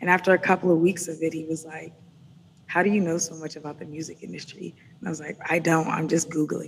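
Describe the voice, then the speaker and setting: Over noticeable background noise, a woman with fairly low pitch speaks at a very fast pace in a monotone, flat intonation with big swings in loudness. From Atlanta, US South. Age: 30s. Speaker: music business consultant. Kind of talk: interview conversation.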